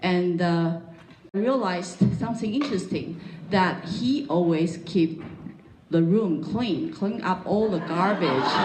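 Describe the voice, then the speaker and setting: The speaker goes at a fairly slow pace. There is audible room echo and noticeable background noise. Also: woman, fairly low pitch for a woman, ordinary pitch variation. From Taiwan, Taipei. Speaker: pastor's wife. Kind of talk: testimony interview. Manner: halting, many fillers.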